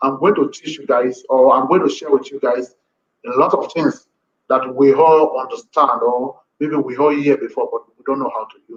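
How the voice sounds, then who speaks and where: A man with a Nigerian accent talks at a moderate pace. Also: big swings in loudness. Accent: Nigerian (Edo) English. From Nigeria, Edo. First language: Edo. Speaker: language teacher. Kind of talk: live-stream lesson. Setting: live video stream.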